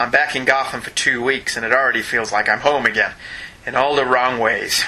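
A man puts on a gravelly character voice at a medium pitch. He talks at a fairly quick pace over light background noise. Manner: gritty noir.

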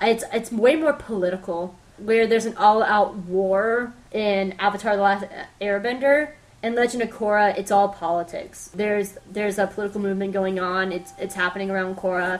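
A woman talks at a fairly quick pace. Hers is a normal speaking voice, pitched at a medium level. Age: 20s. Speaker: podcast host. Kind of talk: solo pop-culture review.

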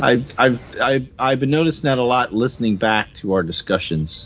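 A man speaks at a medium pitch with very even loudness. His intonation is lively and his pace fairly slow. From born in New Jersey, lived mostly in the American South. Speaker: podcast co-host. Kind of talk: casual conversational.

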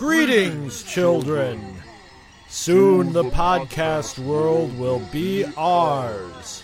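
Music plays behind a man using a put-on character voice. He speaks very slowly in a fairly high pitch. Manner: villainous, put-on.

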